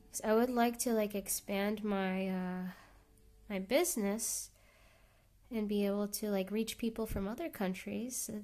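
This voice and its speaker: A soft-spoken woman talks at a fairly slow pace, with a medium pitch and a dark, mellow tone. Her pitch varies in an ordinary way, and her pauses are long and frequent. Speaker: artist streamer. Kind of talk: casual live stream chat.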